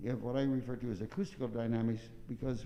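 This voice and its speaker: Very fast speech from a man at medium pitch, ordinary pitch variation, and audible room echo. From US Midwest, southern Illinois. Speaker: trumpet teacher. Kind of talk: masterclass. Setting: recital hall. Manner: mumbling.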